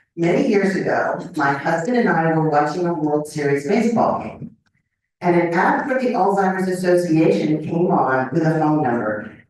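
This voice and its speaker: With audible room echo around her, a woman speaks at a fairly low pitch. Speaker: professor. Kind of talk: lecture. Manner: deliberately slow.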